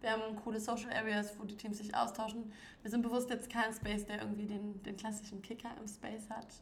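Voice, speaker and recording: A woman talks at a fairly quick pace in a fairly high voice with flat, monotone intonation. Noticeable background noise and audible room echo come through in the recording. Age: young. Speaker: coworking space founder. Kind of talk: casual chat.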